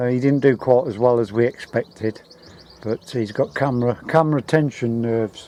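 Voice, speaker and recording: With noticeable background noise behind him, a man speaks at a moderate pace and medium pitch with fairly even intonation. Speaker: air gun reviewer. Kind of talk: product review. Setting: outdoors. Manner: hesitant.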